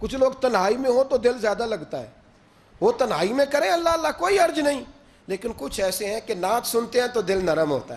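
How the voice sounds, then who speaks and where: An extremely high-pitched male voice with very wide pitch swings. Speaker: Islamic preacher / religious speaker. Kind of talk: Islamic sermon (bayan) to an audience. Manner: passionate, emotional, conversational.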